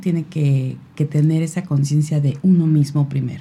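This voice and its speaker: In a dark, mellow tone with a very deep, low pitch, a woman speaks at a moderate pace, somewhat breathy. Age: 50s. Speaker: radio magazine creator and mother. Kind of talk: casual chat.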